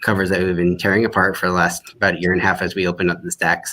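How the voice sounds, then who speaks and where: A man speaks with a strong Midwestern US accent. His pitch is very deep and low. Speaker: academic librarian. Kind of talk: live online demo. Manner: halting.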